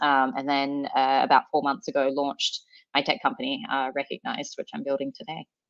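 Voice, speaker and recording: Speaking with an Australian accent at a fairly quick pace, a woman uses a very deep, low pitch. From Sydney, Australia. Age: 30s. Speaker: startup founder. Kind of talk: podcast interview.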